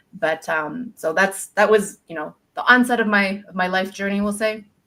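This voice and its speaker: A woman with a bright, sharp tone speaks at a moderate pace and medium pitch, with ordinary pitch variation and big swings in loudness. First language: not English. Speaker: career coach, former speech pathologist. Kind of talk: interview conversation. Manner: halting, many fillers.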